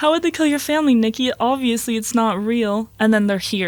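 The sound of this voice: Someone reads here in an unforced voice.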